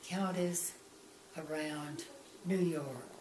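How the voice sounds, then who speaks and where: Very slow speech with ordinary pitch variation, audible room echo and noticeable background noise. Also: woman. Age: 80s+. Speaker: grandmother interviewed about family history. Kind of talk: family interview about her life. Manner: halting.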